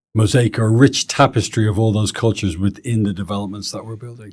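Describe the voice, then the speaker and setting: A Dublin accent at a very fast pace in a very clean recording with a silent background. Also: man. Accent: Irish (Dublin). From Ireland, Dublin. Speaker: real estate executive, interviewer. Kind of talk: interview conversation.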